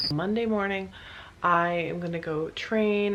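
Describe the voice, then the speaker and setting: Noticeable noise sits in the background. A woman talks over it. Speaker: fitness vlogger. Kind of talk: casual vlog. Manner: quiet; monotone at the start.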